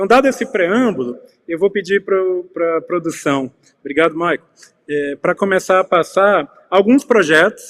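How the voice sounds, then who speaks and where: At a moderate speed, the words come through dry and close. No echo can be heard. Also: man. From Brazil, Piauí. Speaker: curator and researcher. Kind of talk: panel talk / lecture. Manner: hesitant, many filler sounds.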